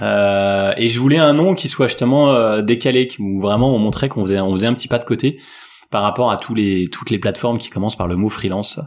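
On a very clean recording with a silent background, the speaker goes at a fairly quick pace with ordinary pitch variation. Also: man, medium pitch for a man. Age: 40s. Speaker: tech company founder. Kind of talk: interview. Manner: hesitant, many fillers.

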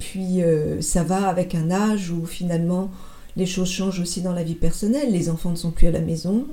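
Audible room echo surrounds a woman speaking at a moderate pace in a fairly low pitch. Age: 50s. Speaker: former business executive, marathon runner. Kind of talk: interview testimony. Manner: halting.

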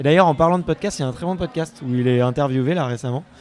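Against noticeable background noise, a man speaks at a medium pitch with ordinary pitch variation. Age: 20s. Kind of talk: casual vox-pop interview. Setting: live event among the public.

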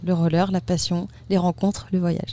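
A woman's somewhat breathy, fairly low voice with a dark, mellow tone, at a moderate pace. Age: 20s. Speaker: long-distance roller skating traveller. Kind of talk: interview. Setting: festival studio.

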